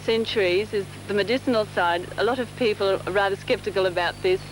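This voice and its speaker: Amid noticeable background noise, a woman talks at a moderate pace with fairly even intonation. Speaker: immigrant family member in documentary. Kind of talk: documentary interview. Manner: halting, with many fillers.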